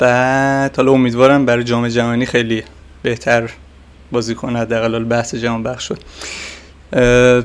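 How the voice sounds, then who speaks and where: A man speaks in a monotone, flat intonation. He leaves long, frequent pauses. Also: medium pitch for a man, moderate pace. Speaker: football podcast host. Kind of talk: casual chat.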